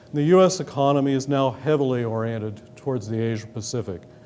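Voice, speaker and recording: The speaker has an American accent and an ordinary amount of pitch variation. The pace is moderate. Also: man. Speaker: government economic official. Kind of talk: lecture. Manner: formal.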